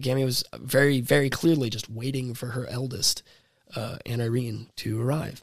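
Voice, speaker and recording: Intonation stays fairly even in a normal speaking voice. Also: man. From US South (Florida, DeLand). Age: 20s. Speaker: singer-songwriter. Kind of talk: casual chat.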